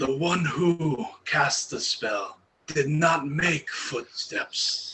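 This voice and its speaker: Using a put-on character voice, a man talks very slowly at a fairly high pitch. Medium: actual play. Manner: halting, simple phrasing.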